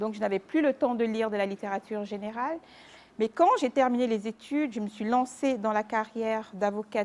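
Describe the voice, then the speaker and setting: A woman's fairly high-pitched, fairly quick delivery with ordinary pitch variation, a plain, everyday voice. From Cameroon (Mbalmayo, Yaoundé). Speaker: lawyer, publisher and author. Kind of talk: interview.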